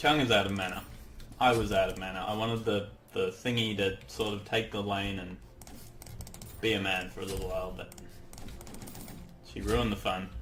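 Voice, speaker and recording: In a room with audible echo, a man with a fairly low pitch shows ordinary pitch variation. He speaks at a fairly quick pace but takes long, frequent pauses. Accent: Australian. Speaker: gaming commentator. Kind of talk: gameplay commentary. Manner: animated.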